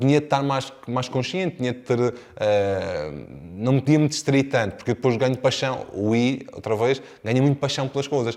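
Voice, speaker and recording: On a very clean recording with a silent background, a man speaks at medium pitch with a European Portuguese accent. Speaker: real estate sales trainer. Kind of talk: lecture. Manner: fast; swallows words.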